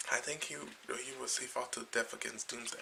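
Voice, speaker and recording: A man whispering at a moderate pace amid noticeable background noise. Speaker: comic book vlogger. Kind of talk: casual video review. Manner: halting, many fillers.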